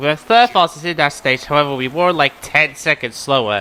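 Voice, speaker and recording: This man speaks with a non-native accent. His pitch is fairly high. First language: not English. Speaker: gaming youtuber. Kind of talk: video game commentary. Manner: casual, occasionally stumbling over words.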